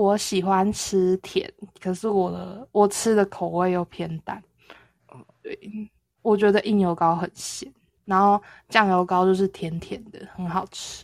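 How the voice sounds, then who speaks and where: A woman speaks at a fairly slow pace with a medium pitch and monotone, flat intonation, her loudness swinging widely. The sound is dry and close, with no echo. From southern Taiwan. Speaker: podcast co-host. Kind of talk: casual chat.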